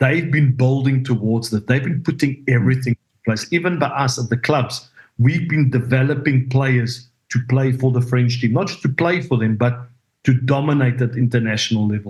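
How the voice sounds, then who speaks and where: A man talks at a moderate pace in a medium pitch. His voice is somewhat breathy, with fairly even intonation. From South Africa. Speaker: rugby coach. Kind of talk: podcast interview.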